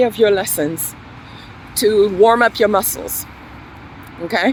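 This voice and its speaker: With an American accent, a woman talks while noticeable background noise is heard. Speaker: English teacher. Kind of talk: tutorial.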